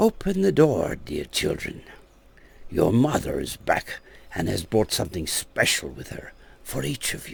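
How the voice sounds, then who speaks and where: Using a put-on character voice, a man speaks at a moderate pace with a raspy sound and medium pitch. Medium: read story. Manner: wheedling and scheming.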